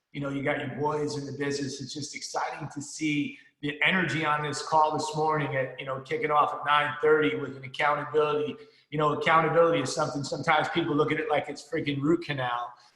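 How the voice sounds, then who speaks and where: A man's fairly high voice with an American accent, very fast, with big swings in loudness and audible room echo. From New Jersey. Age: 50s. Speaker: financial services business leader, motivational speaker. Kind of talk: motivational talk. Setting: conference call. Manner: energetic, animated.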